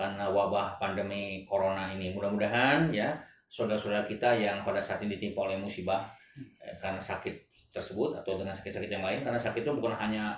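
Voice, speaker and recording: A man rushes through his words at a very fast pace, with audible echo from the room. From Indonesia. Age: 50s. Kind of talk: religious talk show interview.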